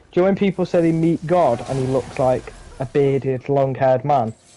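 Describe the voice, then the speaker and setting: With lively intonation and a fairly high pitch, a man keeps a moderate pace while noticeable background noise sounds behind him. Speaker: gaming streamer. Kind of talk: casual chat. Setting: live stream. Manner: animated.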